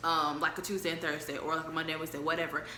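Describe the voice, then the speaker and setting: A woman speaks with a fairly low pitch. Noticeable background noise and audible room echo are present. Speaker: travel vlogger. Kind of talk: casual chat. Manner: fast.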